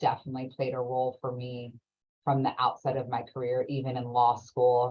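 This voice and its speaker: A woman speaks with an American accent in a very deep, low voice. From Orange County, California. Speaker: lawyer. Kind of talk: interview.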